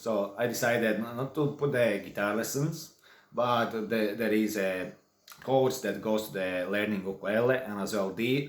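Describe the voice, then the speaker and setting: With a Latvian accent, a man speaks at a fairly slow pace in a fairly low pitch with ordinary pitch variation and audible room echo. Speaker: online course creator and songwriter. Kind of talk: tutorial. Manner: casual, halting.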